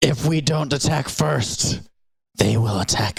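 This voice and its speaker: Putting on a character voice, a man speaks fairly slowly at a medium pitch with very wide pitch swings. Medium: actual play. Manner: stern, lecturing.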